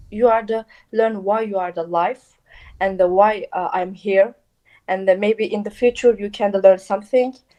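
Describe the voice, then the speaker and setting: A woman speaks at a moderate pace in a dark, mellow tone, with medium pitch and fairly even intonation. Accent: Turkish. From Turkey. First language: Turkish. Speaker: volunteer. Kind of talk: interview. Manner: halting, many fillers.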